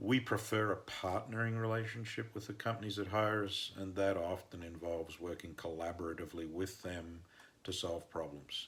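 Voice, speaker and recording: With an Australian accent, a man speaks at a moderate pace in a very deep, low pitch, somewhat breathy, with ordinary pitch variation. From northern Australia. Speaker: mining engineer and consultant. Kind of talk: podcast interview answers.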